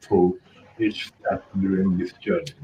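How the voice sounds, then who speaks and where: The speaker talks at a moderate pace with a Senegalese accent. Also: man. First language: French. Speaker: international student. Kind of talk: panel discussion. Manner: hesitant, many fillers.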